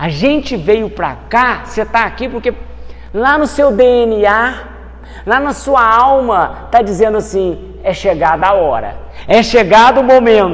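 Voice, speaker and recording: A man's extremely high voice at a fairly slow pace, with lively intonation over noticeable background noise. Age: 40s. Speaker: spiritist lecturer. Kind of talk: talk.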